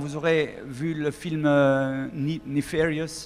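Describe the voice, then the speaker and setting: A man talks at fairly high pitch in a flat, monotone intonation. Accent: Swiss. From Switzerland. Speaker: singer. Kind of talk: public talk. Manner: halting.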